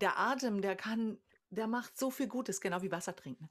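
A woman's lively intonation comes through over a quiet background. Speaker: singer and vocal coach; vocal coach. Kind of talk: casual chat. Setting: video call. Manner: contagious laugh. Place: home room.

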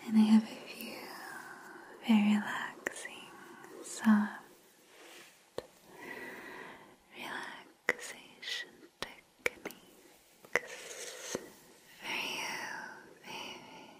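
A woman whispers in a breathy voice, her loudness rising and falling sharply. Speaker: ASMR creator. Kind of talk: soft whispered roleplay talk to viewer. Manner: soft, breathy intimate ASMR voice. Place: home room.

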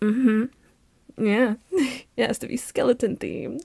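A woman does a put-on character voice at a fairly high pitch, slow and fairly even in intonation, with vocal fry and a slightly husky edge.

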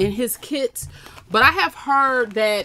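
Over light background noise, a woman speaks fairly slowly with ordinary pitch variation. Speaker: craft channel host. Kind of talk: casual unboxing haul chat. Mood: relaxed, amused.

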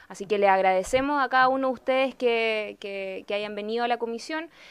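Here a woman speaks with a Chilean accent. Her pace is fairly quick and her pitch varies in an ordinary way. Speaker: legislator chairing committee. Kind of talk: formal committee session. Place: meeting room. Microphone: podium.

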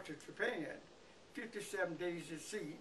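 There is light background noise as a man speaks with a Mississippi accent. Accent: Southern US (Mississippi). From US South. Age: 80s+. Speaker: war veteran; interviewee. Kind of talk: oral history interview. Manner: halting. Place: home room. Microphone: camera far.

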